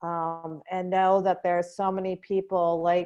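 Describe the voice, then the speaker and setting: Against a quiet background, a woman with a dark, mellow tone and fairly low pitch speaks at a moderate pace in a monotone, flat intonation. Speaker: grief coach. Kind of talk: interview outro.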